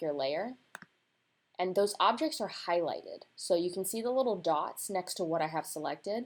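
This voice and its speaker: At a moderate pace, a woman uses an ordinary speaking voice at a medium pitch with lively intonation. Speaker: designer teaching laser-cut design. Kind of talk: screen-recorded tutorial. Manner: casual, conversational.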